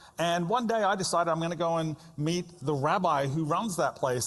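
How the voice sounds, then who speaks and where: High-pitched for a man, he speaks in an Australian accent at a fairly quick pace with ordinary pitch variation. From Australia (Melbourne). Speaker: pastor. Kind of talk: sermon.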